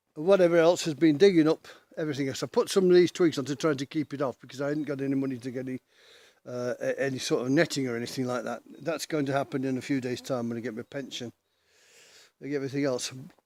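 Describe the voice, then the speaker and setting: This man speaks very fast with an English accent, his pitch fairly high and his tone dark and mellow. The recording is very clean, with a silent background. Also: ordinary pitch variation. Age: 60s. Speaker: pensioner vlogger. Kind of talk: casual vlog monologue. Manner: halting.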